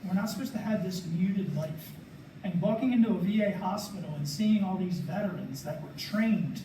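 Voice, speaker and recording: Pitch variation is ordinary. Audible room echo and noticeable background noise surround the voice. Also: man. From Maryland, Carroll County. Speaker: veteran panelist. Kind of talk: panel discussion.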